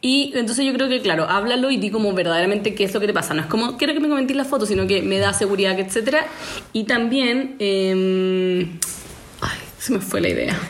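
A woman with a Chilean accent talks fairly quickly at medium pitch, her intonation lively and loudness very even, with audible room echo and noticeable background noise. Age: 20s. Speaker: podcast host. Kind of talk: casual chat.

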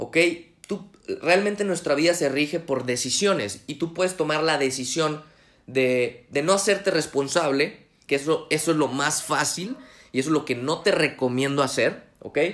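This man has a fairly high-pitched voice. He talks at a moderate pace with ordinary pitch variation. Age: 20s. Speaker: motivational podcast host. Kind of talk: motivational monologue. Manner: halting.

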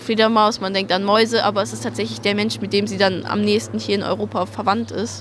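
A woman speaks at a fairly quick pace with hardly any pauses. Noticeable background noise runs underneath. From Swabia, near Stuttgart. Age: 19. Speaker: ecological volunteer. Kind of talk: interview. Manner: hesitant, many fillers.

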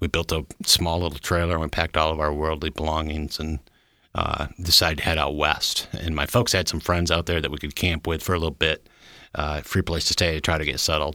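On a very clean recording with a silent background, a man with a Michigan accent talks fairly quickly in a very deep, low, bright and sharp voice with fairly even intonation. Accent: US Midwestern (Michigan). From Michigan, US Midwest. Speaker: church member sharing recovery testimony. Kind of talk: testimony. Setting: studio.

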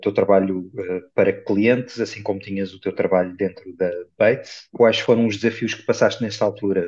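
A man speaks at a moderate pace. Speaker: podcast host. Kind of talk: interview.

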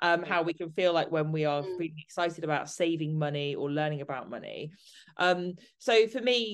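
A woman with an ordinary speaking voice talks at a moderate pace. Her pitch is fairly low, and her intonation is lively. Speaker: podcast host and sober coach. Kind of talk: podcast intro and interview chat. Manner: warm, upbeat.

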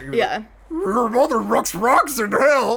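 The voice is a put-on character voice. It sits fairly high in pitch. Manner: comic, rolled R sounds added to words.

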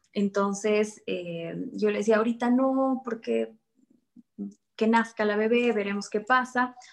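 A woman's fairly high voice, an unremarkable speaking voice, fairly slow and fairly even in intonation. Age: 20s. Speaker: real estate agent. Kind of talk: interview.

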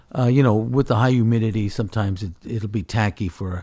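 Here is a man with an American accent and an unremarkable speaking voice, pitched fairly low with ordinary pitch variation. He goes at a fairly quick pace over a quiet background. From California Central Valley (Fresno). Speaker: mixed media artist. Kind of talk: casual interview. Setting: artist's studio.

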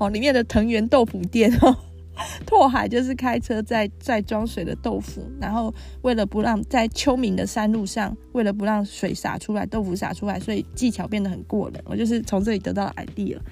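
Speaking with a Taiwanese accent, a woman talks at a moderate pace. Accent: Taiwanese Mandarin. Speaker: podcast host. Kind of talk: casual monologue. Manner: chatty, many fillers.

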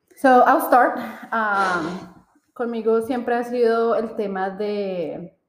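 A woman speaks very slowly at a fairly high pitch, with audible room echo around her voice. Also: ordinary pitch variation. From Colombia. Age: 30s. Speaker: podcast co-host. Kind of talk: casual chat.

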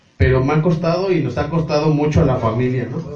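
This man has a fairly high pitch and talks at a moderate pace. There is audible room echo. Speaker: sonidero DJ. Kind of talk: casual chat.

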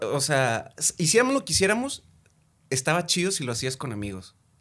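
A man is speaking. The recording is very clean and the background silent. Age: 30s. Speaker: addiction counselor. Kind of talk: casual chat.

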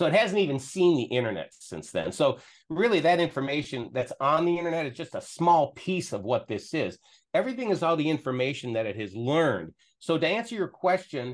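Over a quiet background, a man with a fairly high pitch and vocal fry speaks at a fairly quick pace, swinging his pitch very widely. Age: 60s. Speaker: tech specialist. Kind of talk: casual chat with screen demo. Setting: video call.

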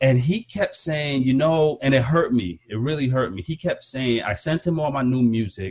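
Talking at a moderate pace with hardly any pauses, a man uses lively intonation in a somewhat breathy voice at medium pitch. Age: 40s. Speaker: hip hop artist and podcast host. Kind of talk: casual chat.

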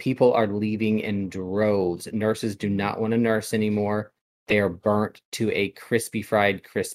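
A man's voice sits at medium pitch. He speaks at a moderate pace. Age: 40s. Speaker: podcast co-host. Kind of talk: casual chat.

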